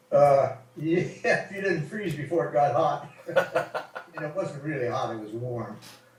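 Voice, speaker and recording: A man's fairly high-pitched voice at a fairly slow pace, with lively intonation, big swings in loudness, and noticeable background noise. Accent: American. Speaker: WWII fighter pilot veteran. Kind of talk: informal interview answer about war memories. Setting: voice call over Skype, poor recording quality. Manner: relaxed, conversational, hesitant with filler words.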